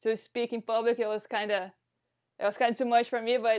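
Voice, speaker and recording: Against a quiet background, a woman with a non-native accent and a fairly high voice speaks very fast. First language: not English. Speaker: volleyball coach, podcast host. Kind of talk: casual interview chat. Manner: halting, repeats words.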